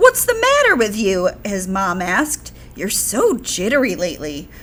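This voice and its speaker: A woman uses a put-on character voice at a moderate pace over light background noise. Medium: read story.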